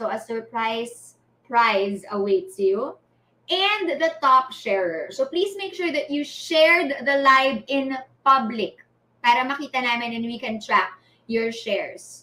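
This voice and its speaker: In a raised, projected voice, a woman speaks high-pitched and fairly slowly, her pitch swinging very widely. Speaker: livestream host. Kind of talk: live event announcements. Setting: live stream.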